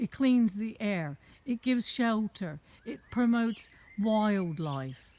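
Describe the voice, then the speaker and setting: A woman with an American accent speaks in a fairly high pitch, her tone dark and mellow and somewhat breathy. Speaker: vlogger. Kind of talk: rant. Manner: animated.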